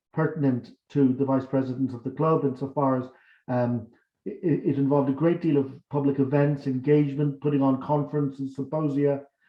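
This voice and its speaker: A man with a Dublin accent, fairly high pitch, fairly quick pace, and fairly even intonation. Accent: Irish, Dublin. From Ireland, Dublin. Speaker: academic and election candidate. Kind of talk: campaign speech.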